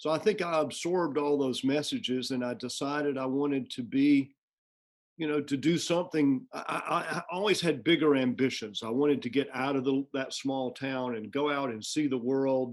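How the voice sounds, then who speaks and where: Speaking at a moderate pace with an American accent, a man has an unremarkable speaking voice, fairly high in pitch, with ordinary pitch variation. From US South, Georgia. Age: 60s. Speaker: music college president. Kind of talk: interview conversation.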